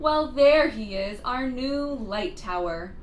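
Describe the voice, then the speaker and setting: A woman performs a put-on character voice at a fairly slow pace, her high pitch swinging very widely. Clear background noise runs underneath. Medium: read story. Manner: blustering.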